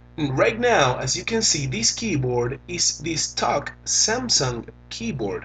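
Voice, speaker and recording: Music plays behind a man speaking with a Venezuelan accent. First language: Spanish. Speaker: tech reviewer. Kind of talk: tutorial.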